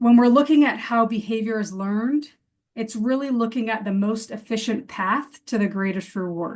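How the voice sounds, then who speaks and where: This woman's voice is fairly high in pitch and somewhat breathy, with ordinary pitch variation. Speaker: behavior specialist presenting to educators. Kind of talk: webinar presentation. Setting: online webinar. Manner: fast.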